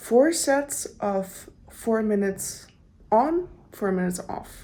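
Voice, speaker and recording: In a non-native accent, the speaker talks at a very slow pace with a dark, mellow tone and audible room echo. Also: woman. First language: not English. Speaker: running vlogger. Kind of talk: casual vlog talk to camera. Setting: gym. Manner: casual, with filler words.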